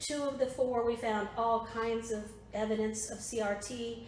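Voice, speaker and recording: Heard with audible room echo, a woman speaks in a Southern US accent at a fairly high pitch with monotone, flat intonation. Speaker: political activist / presenter. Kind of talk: presentation to a political group. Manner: conversational, with fillers.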